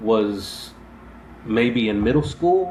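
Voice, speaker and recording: The speech unfolds at a very slow pace. Audible room echo hangs around it. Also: man. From Texas, Abilene. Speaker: podcast host, army veteran. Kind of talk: casual interview chat. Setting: live-streamed show. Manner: halting, many fillers.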